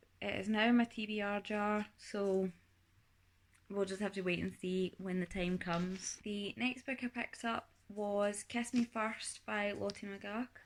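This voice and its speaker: A woman with a Scottish accent, a fairly high pitch and ordinary pitch variation. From Scotland. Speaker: booktuber. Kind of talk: casual vlog book review. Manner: chatty, with fillers.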